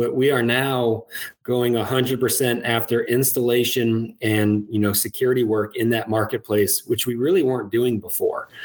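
Speaking with an American accent in an ordinary speaking voice, a man talks at a medium pitch and moderate pace with fairly even intonation and very even loudness. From US Midwest, Iowa. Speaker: security company executive. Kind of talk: interview. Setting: video call.

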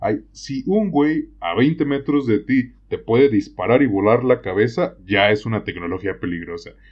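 At a fairly slow pace, a man speaks at a medium pitch with vocal fry. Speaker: podcast co-host. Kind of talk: casual discussion.

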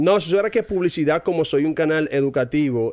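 The man's tone is dark and mellow, and his pitch varies in an ordinary way. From Dominican Republic, Barahona. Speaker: English teacher. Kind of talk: casual interview chat.

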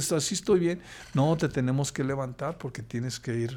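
A man with a Mexican accent speaks in a dark, mellow tone with lively intonation. The recording is very clean, with a silent background. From Mexico, Jalisco (Lagos de Moreno). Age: 50s. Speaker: accident survivor, host's father. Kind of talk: casual interview. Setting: hotel room. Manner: halting, many fillers.

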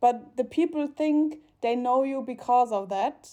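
A voice with a German accent and ordinary pitch variation. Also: woman. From Germany, Mannheim. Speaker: podcast co-host. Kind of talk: casual chat. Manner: halting, many fillers.

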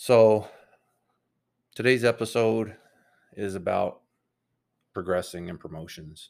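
A man's fairly low voice, fairly slow with long, frequent pauses and ordinary pitch variation, on a very clean recording against a silent background. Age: 40s. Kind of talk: solo monologue podcast. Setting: home room with computer. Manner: says um a lot.

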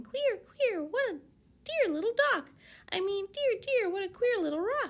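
The speaker uses a put-on character voice at a moderate speed. It sounds squeaky and sits extremely high in pitch. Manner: playful, tongue-twisted.

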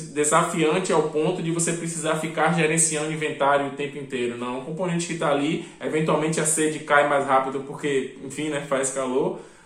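Over noticeable background noise and audible room echo, a man with a fairly high pitch talks at a fairly quick pace with hardly any pauses. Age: 30s. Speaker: game developer. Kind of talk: interview. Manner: frequent fillers.

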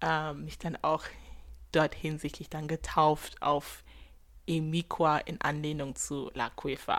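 Long, frequent pauses break up a woman's very slow speech. The recording is very clean, with a silent background. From Germany. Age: 20s. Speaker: podcast host, student. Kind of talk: casual monologue. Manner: animated.

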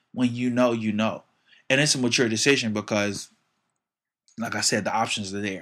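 The very clean recording with a silent background captures a man at medium pitch, speaking at a moderate pace with fairly even intonation and long, frequent pauses. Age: 20s. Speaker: musician and worship leader. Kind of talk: casual chat.

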